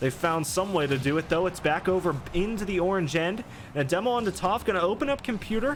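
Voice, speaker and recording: Noticeable background noise sits behind a man with a high pitch who talks at a very fast pace with lively intonation. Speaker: esports caster. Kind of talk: live commentary.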